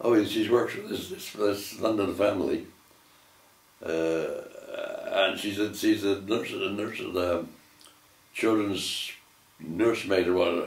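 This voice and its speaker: In a West Country accent, a man speaks at a fairly slow pace with long, frequent pauses. There is noticeable background noise. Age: 80s+. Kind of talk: family reminiscence interview. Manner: hesitant, repetitive.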